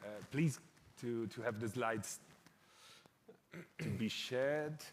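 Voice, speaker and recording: With audible room echo, a man at medium pitch speaks at a fairly slow pace with ordinary pitch variation. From Italy. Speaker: panel moderator. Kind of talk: conference panel moderation. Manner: halting.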